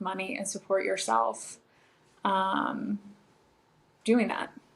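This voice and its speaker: Speaking very slowly, a woman talks with a Californian accent. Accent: General American, Californian. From Los Angeles, San Fernando Valley. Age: 30s. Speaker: model. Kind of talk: podcast interview.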